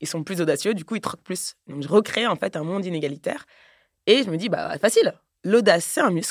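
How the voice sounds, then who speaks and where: In an unremarkable speaking voice of medium pitch, a woman talks at a fairly quick pace with lively intonation and big swings in loudness, on a very clean recording with a silent background and a dry, close sound with no echo. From Paris, France. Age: 30s. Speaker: podcaster and entrepreneur. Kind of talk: casual chat.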